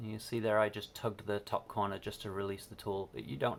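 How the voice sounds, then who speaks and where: A man's very fast speech full of vocal fry. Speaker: maker demonstrating a tool. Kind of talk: tutorial. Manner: casual.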